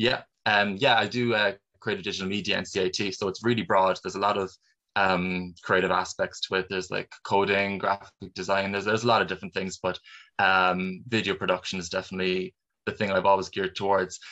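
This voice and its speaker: A man with a Cork accent talks at a fairly quick pace in a fairly low pitch, his tone bright and sharp and his intonation monotone and flat. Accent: Cork Irish. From Ireland, Cork. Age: 20s. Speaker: filmmaker and actor. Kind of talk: interview.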